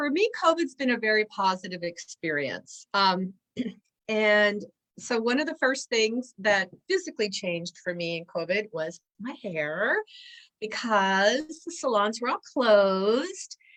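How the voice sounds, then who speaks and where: Speaking at a fairly slow pace, a woman with a fairly high voice makes very wide pitch swings. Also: dry, close sound with no echo. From Asia, raised in several countries. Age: 60s. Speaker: belly dance instructor. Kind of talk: casual interview. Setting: live stream on social media.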